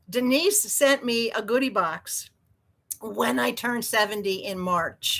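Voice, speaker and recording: Bright and sharp in tone, a woman with an American accent uses a fairly high pitch and lively intonation. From New York State. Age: 70s. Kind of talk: live sales stream. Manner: animated.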